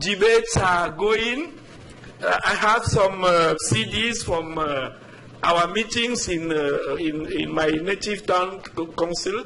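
With audible room echo and noticeable background noise, a high-pitched man speaks in a raised, projected voice at a very slow pace with ordinary pitch variation. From Africa. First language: not English. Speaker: resident speaking at public comment. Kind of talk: public comment at council meeting. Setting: town council meeting. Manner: halting, many repetitions.

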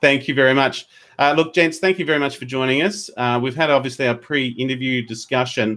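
An Australian accent marks this man's bright, sharp, medium-pitched voice, with ordinary pitch variation. He talks at a fairly quick pace, with big swings in loudness. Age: 40s. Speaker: podcast host. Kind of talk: interview; news reading. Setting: video call. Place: home room. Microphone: earbuds.

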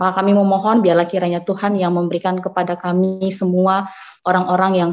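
A woman's voice, monotone and flat in intonation. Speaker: study program head leading prayer. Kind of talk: closing prayer. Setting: video call. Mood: solemn, earnest. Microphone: video call.

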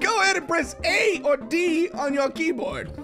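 Clear background noise sits under a put-on character voice that sounds strained and high-pitched, moving at a moderate pace. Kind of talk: commentary reading game text aloud.

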